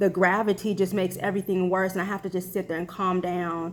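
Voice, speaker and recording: A woman's medium-pitched voice with vocal fry and monotone, flat intonation. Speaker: health vlogger. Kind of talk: personal vlog. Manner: halting, many fillers.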